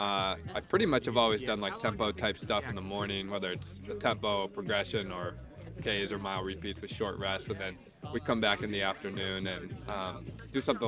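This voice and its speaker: Over music in the background, a man speaks with a fairly low pitch and fairly even intonation, the sound dry with no echo. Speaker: running coach. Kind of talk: interview answer. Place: open country.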